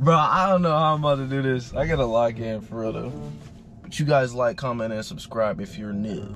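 Clear music sounds behind a man who talks at a fairly quick pace, his voice dry with no echo. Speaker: prank vlogger. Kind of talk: casual vlog chat.

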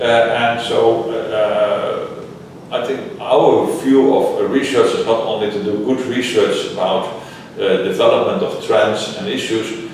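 Very slowly, a man speaks in a room with strong echo and light background noise. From Netherlands. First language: Dutch. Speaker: higher education scholar. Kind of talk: interview. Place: meeting room. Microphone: camera far.

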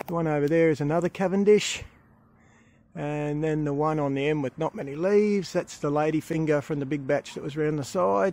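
A man in an Australian accent talks at a fairly quick pace with ordinary pitch variation, the sound dry with no echo. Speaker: gardening vlogger. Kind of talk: casual vlog narration. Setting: outdoors. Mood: pleased, relaxed. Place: garden. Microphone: phone near.

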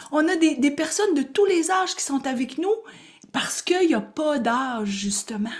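With a Quebec accent, the speaker talks in an animated tone at a moderate pace, pitch swinging very widely over a quiet background. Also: woman, high pitch for a woman. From Quebec, Gaspésie. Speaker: spiritual coach and teacher; spiritual coach, teacher. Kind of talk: live online workshop. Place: home room. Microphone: webcam.

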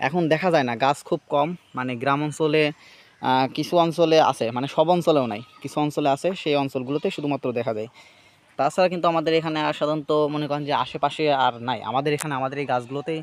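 A man talks with a fairly high pitch for a man. His intonation stays fairly even. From rural Bangladesh. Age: 20s. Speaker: rural video creator. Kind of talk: casual vlog narration. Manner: halting, many fillers.

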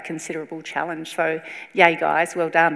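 A woman with an Australian accent speaks at a fairly low pitch over a quiet background. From South Australia. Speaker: event MC, columnist and historian. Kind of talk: event hosting. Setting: stage with audience. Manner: lively. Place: hall. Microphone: lapel.

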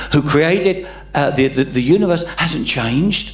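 Over faint background music and audible room echo, a man with an English accent speaks at a fairly slow pace, with a high pitch and lively intonation. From England. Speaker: pastor. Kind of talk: sermon. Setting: church. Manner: halting, many repeated words and fillers. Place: church. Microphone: handheld.

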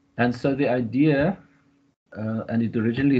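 A somewhat breathy man with ordinary pitch variation, over light background noise. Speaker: professor. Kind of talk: presentation. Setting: video call. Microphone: webcam.

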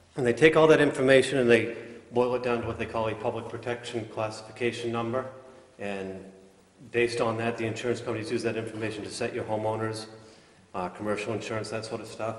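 A man talks at a very fast pace in a flat monotone. Audible room echo surrounds his voice. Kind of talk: public meeting report. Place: hall. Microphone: podium.

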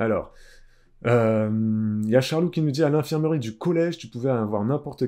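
With a quiet background, the voice has a dark, mellow tone and lively intonation. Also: man. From Réunion. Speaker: live streamer. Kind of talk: live stream chat. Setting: live stream. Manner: casual, halting with many fillers. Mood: indignant, conversational. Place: home room. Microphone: webcam.

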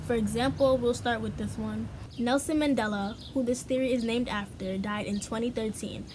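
A woman speaks at a moderate pace with ordinary pitch variation while noticeable background noise plays. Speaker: vlogger. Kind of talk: casual vlog chat. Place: home room. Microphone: phone near.

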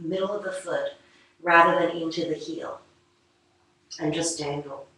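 Audible room echo surrounds a woman speaking at a fairly low pitch with fairly even intonation. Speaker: yoga teacher. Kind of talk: guided yoga class, calm instructional cueing. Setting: studio, live online stream. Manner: calm, unhurried, soothing; instructive, gently paced, with pauses. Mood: calm, soothing. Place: home room. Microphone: camera far.

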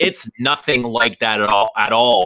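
Over a quiet background, a man speaks in a bright, sharp tone with ordinary pitch variation. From Canada. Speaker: fragrance YouTuber. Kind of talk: casual chat. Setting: video call. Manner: animated. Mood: amused storytelling. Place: home room. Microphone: webcam.

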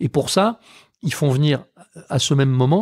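In a very clean recording with a silent background, a somewhat breathy man talks at a moderate pace with ordinary pitch variation. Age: 50s. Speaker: caviar producer. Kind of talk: interview conversation. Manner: hesitant, many fillers.

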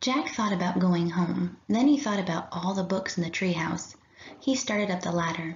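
Someone reads aloud plainly.

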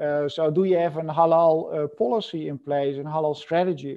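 Against a quiet background, a man speaks at a moderate pace. His voice is high-pitched, with fairly even intonation. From Netherlands. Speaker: professor and supply chain consultant. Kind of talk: webinar lecture. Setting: video call. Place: home room. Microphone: video call.

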